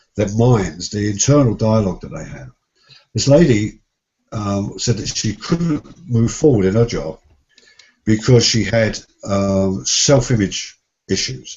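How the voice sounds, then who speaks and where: A man's somewhat breathy, fairly low voice at a fairly slow pace, with lively intonation, big swings in loudness, and long, frequent pauses. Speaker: success coach and seminar trainer. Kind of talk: interview conversation.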